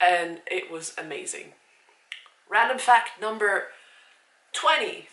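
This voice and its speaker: A woman's fairly high voice at a very slow pace, with very wide pitch swings, long, frequent pauses and audible room echo. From Switzerland, near Zurich. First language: Swiss German. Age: 30s. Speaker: vlogger. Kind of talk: casual vlog talk to camera. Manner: casual, with hesitations.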